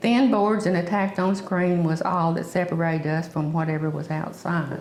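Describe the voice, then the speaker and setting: A woman with a Southern US accent speaks at a moderate pace and a fairly low pitch, with ordinary pitch variation. Audible room echo and noticeable background noise surround her voice. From US South. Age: 70s. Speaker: oral history interviewee. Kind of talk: oral history reminiscence.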